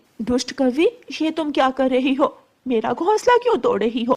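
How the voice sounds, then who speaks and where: A woman speaks in a cartoonish character voice. Her pitch is high, and her pace is moderate. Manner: naive, plaintive.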